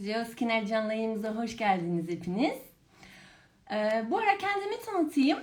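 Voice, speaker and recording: A woman with a French accent, at a fairly slow pace. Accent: noticeable accent from years in France. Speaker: pharmacist, brand education manager, live stream host. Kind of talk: live stream interview. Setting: online live broadcast.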